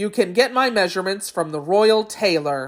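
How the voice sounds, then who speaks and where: A female-sounding voice performs a put-on character. It has a middle pitch and a moderate pace. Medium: read story.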